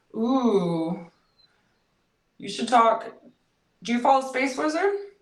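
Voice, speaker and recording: Speaking with an American accent, a woman talks at a very slow pace in a fairly high pitch. Her pitch swings very widely, and audible room echo surrounds her. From San Diego, California. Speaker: meme page creator. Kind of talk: casual interview. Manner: casual, filler-heavy.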